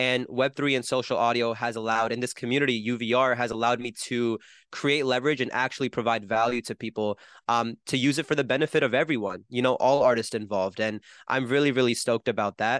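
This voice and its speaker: Speech with an American accent comes at a very fast pace and fairly even intonation. The sound is dry and close with no echo, over a quiet background. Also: man, medium pitch for a man. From New Jersey, US. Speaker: musician and entrepreneur. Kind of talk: casual interview conversation.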